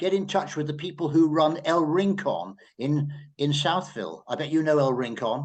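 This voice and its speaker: A fairly high-pitched man with an English accent at a moderate pace. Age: 80s+. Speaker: journalist. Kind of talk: panel discussion. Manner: halting.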